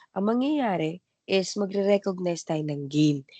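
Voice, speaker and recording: Very wide pitch swings in a dry, close sound with no echo. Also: woman. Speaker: accounting teacher. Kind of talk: recorded lecture. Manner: halting, with fillers.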